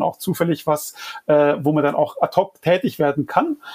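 The voice is a man's, pitched high. Background noise is noticeable throughout. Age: 40s. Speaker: design agency owner and climate activist. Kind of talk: interview. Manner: hesitant with frequent fillers.

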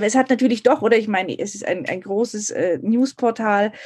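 A woman's fairly high-pitched voice over a quiet background. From Munich, Germany. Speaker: editor-in-chief. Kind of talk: interview.

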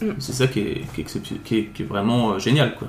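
At a fairly slow pace, a man talks in a medium pitch with a somewhat breathy voice and audible room echo. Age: 30s. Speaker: nurse, groom. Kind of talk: casual interview. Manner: hesitant, many fillers.

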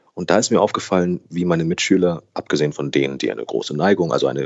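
A man is speaking. His voice shows ordinary pitch variation. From Germany, raised trilingual with Brazilian mother. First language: Brazilian Portuguese (speaking German). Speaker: actor, voice actor and newsreader. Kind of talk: casual interview.

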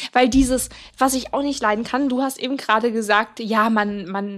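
Using a normal speaking voice, a woman talks at a fairly slow pace with a fairly high pitch and fairly even intonation. The recording is very clean, the background silent. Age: 20s. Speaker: podcast co-host. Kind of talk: casual chat.

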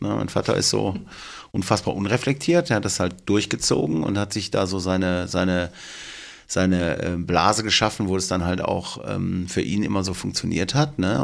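Vocal fry in a man's very deep, low voice, its pitch variation ordinary. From Germany, Duisburg (Ruhr area). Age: 50s. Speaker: tattoo artist. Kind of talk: casual chat.

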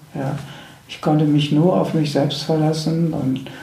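A man talks at a fairly slow pace with a fairly high pitch. There is noticeable background noise and audible room echo. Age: 60s. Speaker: spiritual teacher and end-of-life companion. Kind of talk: interview. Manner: halting, repeating words.

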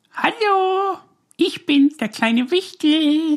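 Very slow, high-pitched delivery in a put-on character voice

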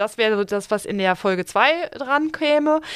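Speaking with a normal speaking voice at a medium pitch, a woman uses lively intonation in a dry, close sound with no echo. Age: 40s. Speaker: bank financial advisor. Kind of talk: casual chat.

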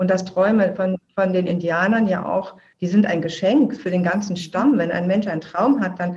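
At a moderate pace with hardly any pauses, a woman speaks in a plain, everyday voice, medium in pitch with ordinary pitch variation. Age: 50s. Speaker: filmmaker and podcaster. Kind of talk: interview.

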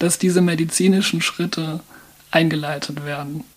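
A woman talks at a fairly low pitch against noticeable background noise. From Mannheim, Germany. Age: 30s. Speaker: transgender counselor and volunteer. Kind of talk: interview. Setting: studio.

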